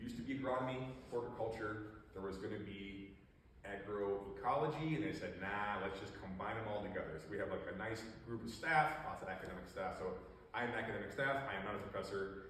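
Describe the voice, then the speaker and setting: A man with an Upper Midwest US accent at a medium pitch and fairly quick pace, ordinary pitch variation, noticeable background noise and audible room echo. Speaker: invasive species outreach specialist. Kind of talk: public talk. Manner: loud.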